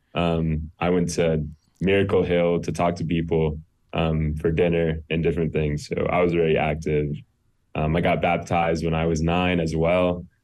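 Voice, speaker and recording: Here a man with an American accent speaks at a moderate pace in a very deep, low pitch. His intonation is monotone and flat, with very even loudness. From US South, Greenville, South Carolina. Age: 20s. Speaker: university student. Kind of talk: interview testimony. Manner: halting, many ums.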